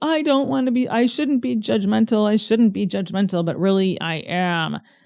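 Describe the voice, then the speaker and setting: A man's put-on character voice, high in pitch. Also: moderate pace. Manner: judgmental, self-critical.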